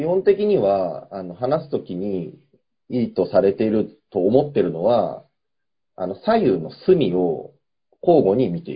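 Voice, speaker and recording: Somewhat breathy and medium in pitch, a man speaks at a fairly slow pace with very wide pitch swings and big swings in loudness. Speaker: podcast co-host, office worker. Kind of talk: casual chat.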